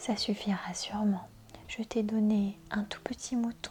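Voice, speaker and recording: Soft-spoken, a woman talks in a calm, gentle tone. Her pitch is fairly high. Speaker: ASMR reader. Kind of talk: soft-spoken book reading for relaxation and sleep. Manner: soft-spoken, calm, gentle.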